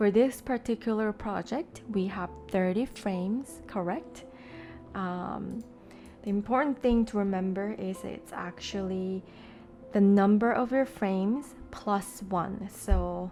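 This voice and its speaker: Soft-spoken, a woman talks at a very slow pace and a medium pitch with a calm, relaxed tone. Music plays in the background. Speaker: digital artist. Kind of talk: soft-spoken software tutorial narration. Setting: voiceover recorded over screen capture. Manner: soft-spoken, calm, relaxed.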